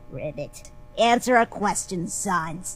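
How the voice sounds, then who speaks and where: Over clear background noise, a woman does a put-on character voice at medium pitch and a fairly slow pace. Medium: fan dub. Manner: direct, questioning.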